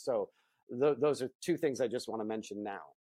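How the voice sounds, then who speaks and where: With an American accent, a man speaks in a dark, mellow tone, the sound dry and close with no echo over a quiet background. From US Midwest, Akron, Ohio. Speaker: film writer and director. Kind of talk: interview.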